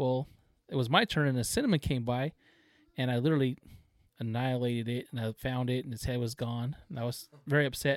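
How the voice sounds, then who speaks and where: A man with an unremarkable speaking voice, medium pitch and fairly even intonation, in a dry, close sound with no echo. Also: fairly quick pace. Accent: American. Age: 40s. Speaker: taxidermist, duck hunter. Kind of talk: casual chat.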